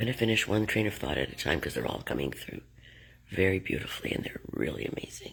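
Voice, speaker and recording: A woman is whispering at a very fast pace. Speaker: spiritual teacher.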